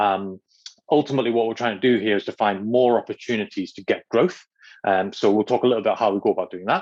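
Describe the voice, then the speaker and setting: A man talks at a very fast pace, with a dry, close sound and no echo. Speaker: agency consultant hosting a workshop. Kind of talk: online workshop presentation. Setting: video call. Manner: fast, self-described.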